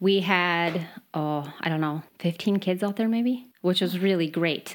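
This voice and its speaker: In a very clean recording with a silent background, a woman speaks at a fairly low pitch with ordinary variation. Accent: American. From Upper Peninsula, Michigan, US. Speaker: expat guest. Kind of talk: casual interview chat. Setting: Sweden. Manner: excited, animated.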